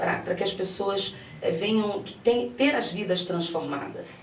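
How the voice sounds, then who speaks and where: Amid noticeable background noise and audible room echo, a woman with a Rio de Janeiro accent speaks at a moderate pace with ordinary pitch variation. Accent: Rio de Janeiro (carioca). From Brazil, Minas Gerais. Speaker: pastor. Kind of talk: TV interview. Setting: TV studio, live broadcast.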